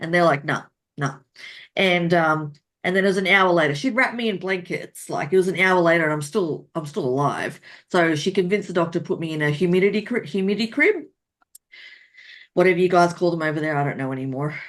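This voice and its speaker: Talking at a very fast pace, a woman with an Australian accent has a fairly low pitch. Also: ordinary pitch variation. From Australia, rural New South Wales. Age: 40s. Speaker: romance author. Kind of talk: interview.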